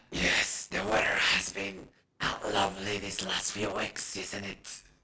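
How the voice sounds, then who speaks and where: A man puts on a raspy character voice, speaking at a fairly slow pace in a flat monotone. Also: fairly low pitch for a man. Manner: deadly, politely chatting.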